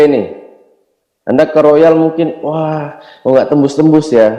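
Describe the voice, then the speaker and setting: A man's fairly high-pitched voice carries a dark, mellow tone. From Indonesia, Yogyakarta. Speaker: network marketing distributor, motivational speaker. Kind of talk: motivational seminar talk.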